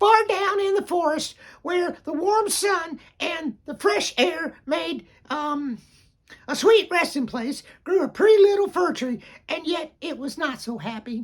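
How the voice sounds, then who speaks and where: An extremely high-pitched, put-on character voice speaks at a fairly slow pace. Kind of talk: bedtime story. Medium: read story. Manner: rambling, easily sidetracked, enthusiastic.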